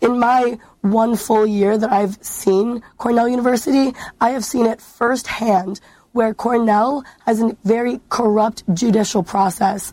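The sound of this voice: A woman speaks fairly slowly with few pauses and fairly even intonation. Her pitch is fairly high and her tone dark and mellow.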